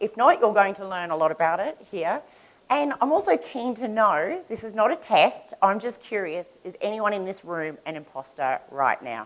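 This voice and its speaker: A woman with an Australian accent speaks at a moderate pace, her loudness swinging widely and her pitch swinging very widely. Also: medium pitch for a woman. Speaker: conference speaker. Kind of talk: conference talk. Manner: conversational.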